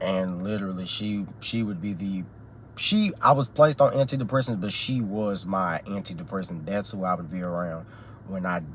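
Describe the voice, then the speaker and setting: A man with an American accent, fairly low pitch, ordinary pitch variation and a moderate pace. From Texas, Dallas. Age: 18. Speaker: student. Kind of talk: class speech. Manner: halting, many fillers.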